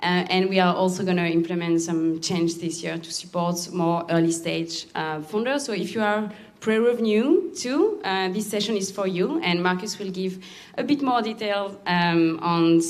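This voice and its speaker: A woman with a French accent and medium pitch, ordinary pitch variation, a moderate pace and audible room echo. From France. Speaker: accelerator program lead. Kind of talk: presentation.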